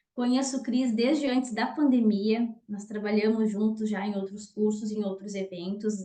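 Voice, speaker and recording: Using an ordinary speaking voice, a woman talks at a moderate pace with hardly any pauses, a fairly high pitch and fairly even intonation. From southern Brazil, Rio Grande do Sul. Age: 30s. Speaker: nutritionist and lecturer. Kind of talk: online talk / webinar presentation.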